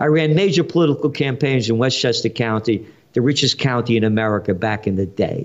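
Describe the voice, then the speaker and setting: Keeping very even loudness, a man at medium pitch speaks at a fairly quick pace with ordinary pitch variation. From New York City (Bronx). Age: 70s. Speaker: trend forecaster and publisher. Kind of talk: interview. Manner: animated.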